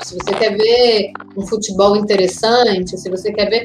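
A woman talks over noticeable background noise. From Brazil, Brasília. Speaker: football pundit. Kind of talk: casual chat.

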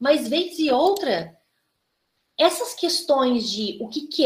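A woman speaks with lively intonation. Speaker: criminology lab coordinator and host. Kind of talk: lecture. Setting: video call.

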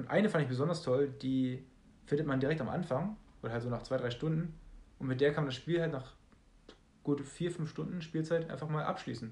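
The voice is somewhat breathy, with ordinary pitch variation. The pace is fairly quick, broken by long, frequent pauses. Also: man, fairly high pitch for a man. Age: 20s. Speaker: podcast co-host. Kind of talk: casual chat.

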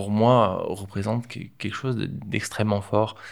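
Speaking at a very slow pace with ordinary pitch variation, a man is heard on a very clean recording against a silent background. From Provence, southern France. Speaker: project manager for an art foundation. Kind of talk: interview. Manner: halting, with fillers and repetitions.

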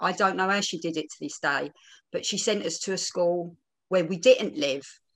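At a moderate pace, a woman talks with an East London accent. Her pitch is fairly low, with ordinary variation. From East End of London. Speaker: theatre producer and panel speaker. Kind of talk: personal talk at online panel. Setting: video call.

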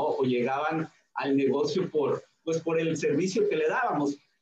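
An ordinary speaking voice, a man's fairly high one, at a fairly slow pace with lively intonation. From Mexico, Hidalgo (Tulancingo). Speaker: network marketing leader. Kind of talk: interview. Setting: video call.

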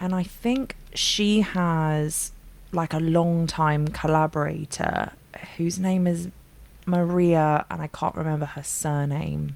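At a very slow pace, a woman with a London accent talks in a fairly low voice. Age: 30s. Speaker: singer-songwriter. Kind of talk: casual chat.

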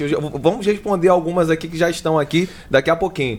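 This man talks at a very fast pace and a fairly high pitch. His intonation stays fairly even. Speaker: podcast host. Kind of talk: casual podcast interview.

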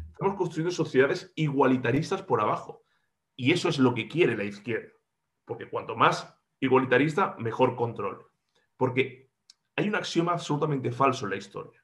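Fairly high in pitch and somewhat breathy, a man talks at a fairly quick pace with lively intonation. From Andalusia, Córdoba. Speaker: regional parliament politician. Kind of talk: interview.

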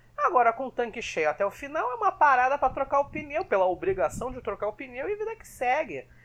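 A very fast delivery with hardly any pauses. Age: 20s. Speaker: Formula 1 podcast co-host. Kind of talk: casual chat.

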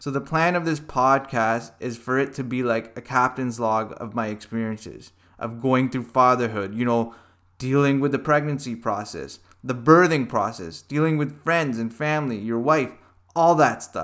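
With a Canadian accent, a man speaks at a medium pitch and a moderate pace, using ordinary pitch variation in a normal speaking voice. The recording is very clean, with a silent background. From Canada (Hamilton, Ontario). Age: 30s. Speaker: podcast host. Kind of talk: monologue. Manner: casual.

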